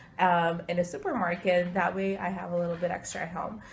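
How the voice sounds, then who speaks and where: A woman's somewhat breathy medium-pitched voice at a fairly quick pace. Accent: American. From Ukraine, emigrated to US when younger. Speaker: interviewee. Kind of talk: interview answers. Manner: hesitant, many filler words.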